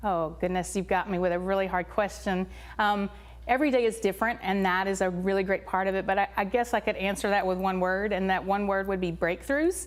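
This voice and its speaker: With a Tennessee accent, a woman talks at a fairly quick pace and a medium pitch. Her intonation is fairly even and her loudness very even. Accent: Tennessee accent, persistent. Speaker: elementary school principal. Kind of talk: interview.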